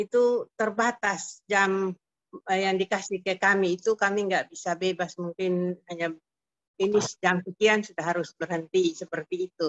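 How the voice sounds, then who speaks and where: With an ordinary speaking voice, a woman talks at a moderate pace and medium pitch with fairly even intonation. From Kupang, East Nusa Tenggara, Indonesia. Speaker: prayer fellowship member. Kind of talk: testimony. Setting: video call.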